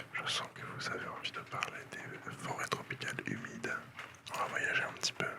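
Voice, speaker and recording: A man whispering in a relaxed tone over noticeable background noise. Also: moderate pace. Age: 20s. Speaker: ASMR content creator. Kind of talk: ASMR whispered reading of encyclopedia articles for sleep. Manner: whispered, soft-spoken, relaxed.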